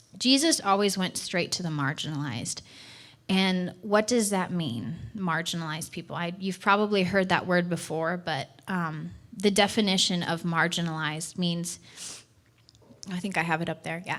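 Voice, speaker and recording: A woman's fairly low voice with ordinary pitch variation, on a very clean recording with a silent background. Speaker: church missions director. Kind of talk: sermon. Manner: fast.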